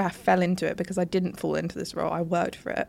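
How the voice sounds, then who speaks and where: Very fast speech from a woman with a British accent on a very clean recording with a silent background. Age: 20s. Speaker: social media manager and podcast co-host. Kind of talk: casual chat. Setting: studio, on a sofa. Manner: animated.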